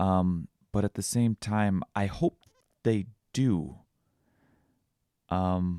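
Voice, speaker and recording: In a very deep, low pitch, a man speaks very slowly with a dark, mellow tone, ordinary pitch variation, very even loudness, and long, frequent pauses. The sound is dry and close with no echo, on a very clean recording with a silent background. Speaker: vlogger. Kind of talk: solo podcast monologue. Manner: halting, with pauses and stutters.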